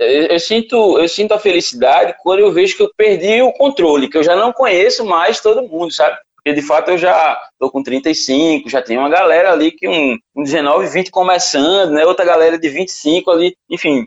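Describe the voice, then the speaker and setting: A man with a high-pitched voice talks at a moderate pace, his intonation lively and his speech nearly free of pauses. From Paraíba, Brazil (João Pessoa). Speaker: musician. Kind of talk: interview. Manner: casual, many repetitions.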